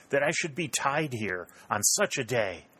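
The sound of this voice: Using a put-on character voice, a man speaks at a fairly slow pace and medium pitch, with big pitch swings, a bright, sharp tone and a slightly husky edge.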